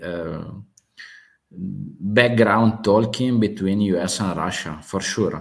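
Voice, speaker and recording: Speaking very slowly with a strong Italian accent, a man uses a fairly low pitch and ordinary pitch variation. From Italy. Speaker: geopolitics channel host. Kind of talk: live stream open discussion. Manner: halting, many fillers.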